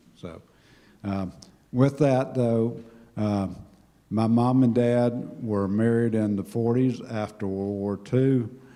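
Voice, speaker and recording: Audible room echo surrounds a man with a medium pitch and a dark, mellow tone. He talks very slowly with fairly even intonation. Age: 70s. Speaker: church member giving life story. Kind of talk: personal talk to congregation.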